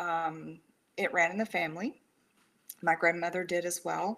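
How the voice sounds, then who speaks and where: In a Texan accent, a woman with a fairly low pitch and a bright, sharp tone speaks at a fairly slow pace with fairly even intonation. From rural Texas. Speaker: suicide prevention counselor. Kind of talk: interview.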